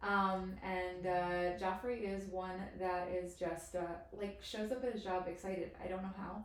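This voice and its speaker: Amid noticeable background noise and audible room echo, a woman speaks at a fairly slow pace in a monotone, flat intonation. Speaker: podcast host. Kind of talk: podcast interview introduction.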